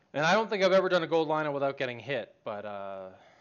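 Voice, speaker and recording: Fairly high-pitched for a man, his voice moves in very wide pitch swings. He swoops up and down throughout. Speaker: gaming streamer. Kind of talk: live gameplay stream chat. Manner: loud; talkative, hesitant fillers.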